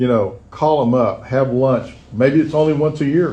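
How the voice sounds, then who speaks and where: A man with a Texan accent at medium pitch, fairly slow pace and fairly even intonation, with audible room echo. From Texas. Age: 70s. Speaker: recovering alcoholic speaker. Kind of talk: recovery talk. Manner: halting.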